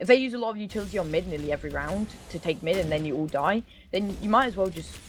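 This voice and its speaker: Here a woman speaks at a very fast pace with vocal fry. Her pitch variation is ordinary. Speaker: esports caster. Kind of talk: live commentary. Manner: animated.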